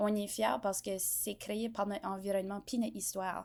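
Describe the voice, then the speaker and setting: Very clean recording of a woman at a medium pitch, the background silent. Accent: New Brunswick Acadian. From Acadia, New Brunswick (Bouctouche, southeast). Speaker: content creator. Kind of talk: podcast interview. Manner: hesitant, many fillers.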